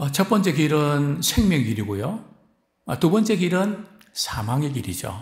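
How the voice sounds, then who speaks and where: Audible room echo surrounds a man whose fairly high voice makes very wide pitch swings and carries vocal fry. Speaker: pastor. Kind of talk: sermon. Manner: frequent fillers and rhetorical questions.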